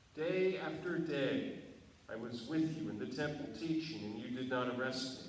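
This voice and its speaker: A man with a fairly high voice talks rather slowly and with lively intonation, as background noise remains noticeable. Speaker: pastor. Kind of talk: dramatic scripture reading.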